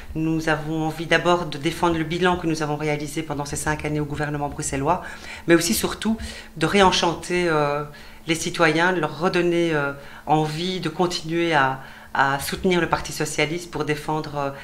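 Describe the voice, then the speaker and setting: Her voice is very deep and low, with a monotone, flat intonation. This woman talks at a moderate pace, and room echo is audible. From Belgium, Brussels (Molenbeek). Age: 50s. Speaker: politician, election candidate. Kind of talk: TV interview. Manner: halting, many fillers.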